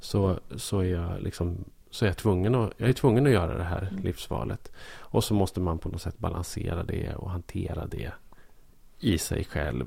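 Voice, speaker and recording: A man with a very deep, dark, mellow voice and vocal fry talks at a moderate pace with lively intonation. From southern Norrland, Sweden (Bollnäs). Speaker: podcast co-host. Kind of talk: casual chat.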